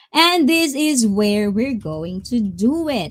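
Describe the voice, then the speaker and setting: In a very clean recording with a silent background, a somewhat breathy woman's voice swings very widely in pitch. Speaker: streamer. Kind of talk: casual chat. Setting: live stream. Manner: animated.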